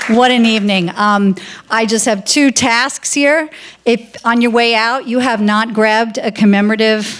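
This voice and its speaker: With an unremarkable speaking voice, a woman talks at a fairly slow pace with a fairly high pitch and fairly even intonation. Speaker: activist and coalition organizer. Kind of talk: closing remarks at awards ceremony.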